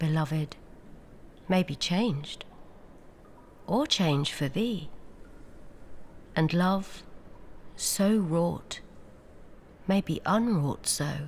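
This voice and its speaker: Speaking very slowly with long, frequent pauses, a woman uses lively intonation in a somewhat breathy, medium-pitched voice. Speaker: actress. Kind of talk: poetry reading. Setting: outdoors. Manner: soft-spoken, slow.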